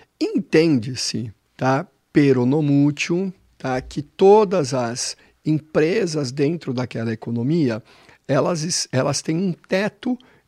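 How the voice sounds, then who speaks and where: A man's fairly high voice at a very slow pace with lively intonation, in a very clean recording with a silent background and a dry, close sound with no echo. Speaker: financial educator. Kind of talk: explanatory chat.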